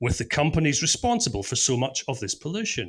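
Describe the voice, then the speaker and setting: In a very clean recording with a silent background, a man with a Scottish accent speaks with very wide pitch swings. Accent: Scottish brogue. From Scotland. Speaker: podcast producer and stand-in presenter. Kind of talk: podcast interview with scripted intro.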